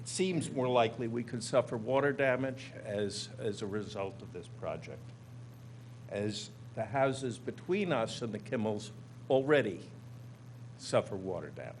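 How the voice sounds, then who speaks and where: A man's somewhat breathy, medium-pitched voice at a moderate pace, with long, frequent pauses, big swings in loudness and ordinary pitch variation. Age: 70s. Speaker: neighbor testifying at public hearing. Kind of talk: public hearing testimony.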